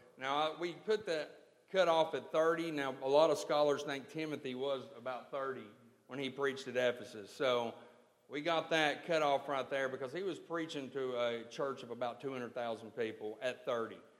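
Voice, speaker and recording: A man of fairly high pitch at a moderate pace, ordinary pitch variation and audible room echo. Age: 30s. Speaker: church member announcing a ministry program. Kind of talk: church announcement. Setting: church.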